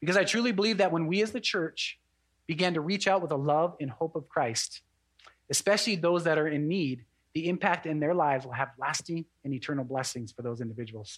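On a very clean recording with a silent background, a man with a plain, everyday voice talks at a fairly quick pace, his fairly high pitch carried by lively intonation. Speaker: pastor. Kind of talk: sermon.

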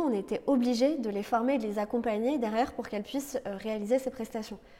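A woman with a dark, mellow tone. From Lorraine, France. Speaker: entrepreneur, co-founder. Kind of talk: interview. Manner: halting, many repetitions and fillers.

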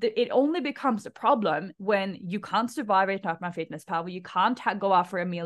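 A woman speaks at a fairly quick pace in a normal speaking voice, her pitch sitting in the medium range. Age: 30s. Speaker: female empowerment coach. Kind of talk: casual chat. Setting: video call.

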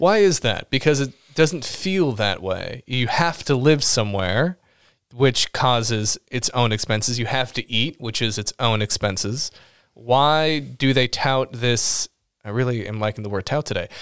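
An American-accented man speaks at a fairly slow pace with an animated tone and ordinary pitch variation, the sound dry and close with no echo in a very clean recording with a silent background. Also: medium pitch for a man. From Los Angeles. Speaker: writer and podcast co-host. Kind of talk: casual chat. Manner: animated, laughs often.

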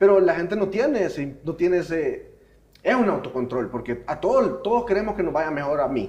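A man talks at a high pitch with very wide pitch swings. His pace is fairly quick. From foreign to the region. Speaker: podcast co-host. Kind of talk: casual chat.

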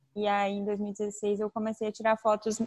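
At a moderate pace, a woman with a fairly high pitch speaks in a plain, everyday voice, the sound dry and close with no echo. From southern Brazil (Tubarão, Santa Catarina). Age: 20s. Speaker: travel influencer and photographer. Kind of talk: casual interview.

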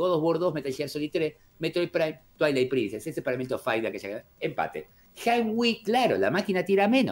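A man with an Argentine accent, fairly high-pitched, at a fairly quick pace, with very wide pitch swings and vocal fry. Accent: Argentine Spanish (rioplatense voseo). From Argentina. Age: 40s. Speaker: gaming youtuber. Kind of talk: casual chat.

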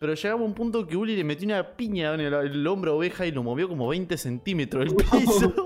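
With a Rioplatense accent, the speaker rushes along at a very fast pace with lively intonation and hardly any pauses, over noticeable background noise. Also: man, high pitch for a man. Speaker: podcast co-host. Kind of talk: casual chat.

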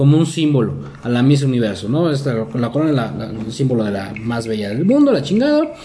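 A man with lively intonation at a fairly quick pace, amid audible room echo and noticeable background noise. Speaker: podcast co-host. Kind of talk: casual chat.

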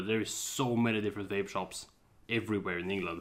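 A man speaks at a fairly quick pace with a Swedish accent. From Sweden. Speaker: podcast co-host. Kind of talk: casual chat. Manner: animated.

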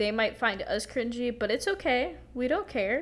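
The voice is a woman's. She speaks with an American accent. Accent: American-sounding, even in Spanish. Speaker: podcast co-host. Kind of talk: casual chat.

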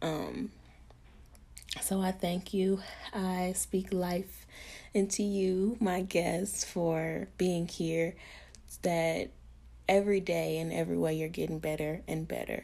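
A woman with an American accent speaks at a very slow pace, leaving long, frequent pauses. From Arkansas, US South. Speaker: podcast host. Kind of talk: solo podcast monologue.

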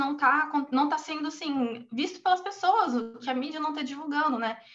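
Pitch varies in an ordinary manner. The delivery comes at a fairly quick pace. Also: woman. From Brazil, Cuiabá. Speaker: human rights researcher. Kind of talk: interview.

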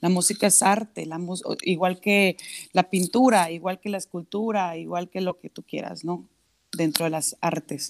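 Here is an unremarkable speaking voice: a woman at medium pitch, moderate pace and fairly even intonation. The sound is dry and close, with no echo. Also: very clean recording, silent background. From Mexico, Monterrey (Nuevo León). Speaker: singer-songwriter. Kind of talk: casual interview.

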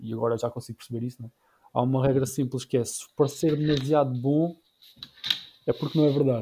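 A man with a fairly high pitch and an ordinary speaking voice talks at a fairly quick pace with fairly even intonation. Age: 30s. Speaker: YouTuber and entrepreneur. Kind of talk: casual chat.

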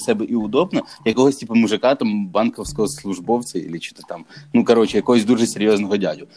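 Lively intonation over music in the background. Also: man. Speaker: barber. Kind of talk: casual chat. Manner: casual, filler-heavy.

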